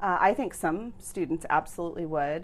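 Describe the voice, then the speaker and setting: Using an unremarkable speaking voice, a woman with an American accent speaks at a moderate pace with a fairly low pitch and ordinary pitch variation. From United States. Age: 30s. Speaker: nutrition professor. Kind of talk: interview.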